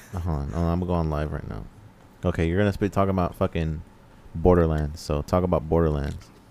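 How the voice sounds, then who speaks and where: Using a very deep, low pitch and a dark, mellow tone, a man talks at a very fast pace with ordinary pitch variation and long, frequent pauses. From Mexican-American, US. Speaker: video game podcast co-host. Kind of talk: casual chat.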